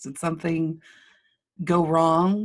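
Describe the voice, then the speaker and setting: Recorded very cleanly against a silent background, a woman with a Texan accent speaks in a fairly low-pitched voice. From Lubbock, Texas. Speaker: marketing business owner. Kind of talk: casual interview conversation.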